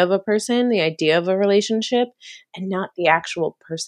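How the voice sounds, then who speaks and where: This is an ordinary speaking voice with ordinary pitch variation. It moves at a fairly quick pace against a quiet background. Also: woman. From US East Coast, Maryland near DC. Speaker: author and commercial producer. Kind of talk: casual interview chat.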